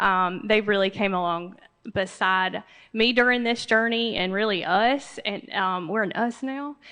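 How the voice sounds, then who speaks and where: A woman with a Southern US accent talks at a fairly slow pace in a bright, sharp tone. Her medium pitch shows ordinary variation against a quiet background. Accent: US South. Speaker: assistance dog graduate client. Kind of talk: graduation speech. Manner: soft-spoken; halting, many fillers.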